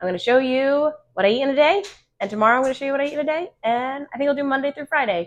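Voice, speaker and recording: Upbeat in tone, a woman speaks at a very fast pace, her high pitch carried by lively intonation. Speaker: vlogger. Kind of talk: casual vlog. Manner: upbeat, chatty.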